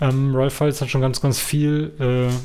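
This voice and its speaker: A man speaks at a moderate pace in a medium pitch. Noticeable background noise runs behind him. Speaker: podcast co-host. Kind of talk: casual chat.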